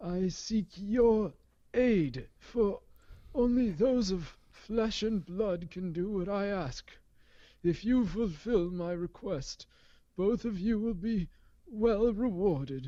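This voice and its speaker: Against a quiet background, a put-on character voice speaks at a very slow pace with a fairly high pitch. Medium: read story. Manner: hollow, solemn.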